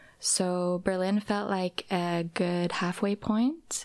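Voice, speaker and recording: A woman speaks softly in a medium pitch. Her intonation is fairly even. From Norway. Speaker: drag and stage performer. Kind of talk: interview. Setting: studio. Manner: soft-spoken.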